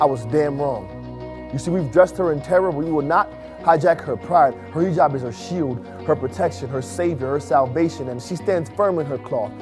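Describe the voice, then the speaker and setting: A man at a fairly high pitch, lively in intonation and fairly quick in pace, over background music. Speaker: spoken word poet. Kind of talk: spoken word poetry performance.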